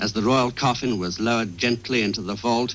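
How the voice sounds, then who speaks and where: The voice belongs to a man. Noticeable background noise is present. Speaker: radio correspondent. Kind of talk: radio news report, live commentary.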